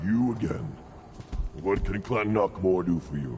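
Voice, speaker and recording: A man puts on a character voice with a very deep, low pitch at a moderate pace, over clear background noise. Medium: video game.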